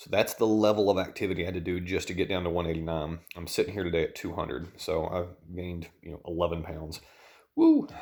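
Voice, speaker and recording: A man with a Southern US accent speaks very fast and quietly in a very deep, low pitch. His intonation stays flat and monotone while his loudness swings widely. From US South. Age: 30s. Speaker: dietitian and vlogger. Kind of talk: personal vlog. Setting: at home at night.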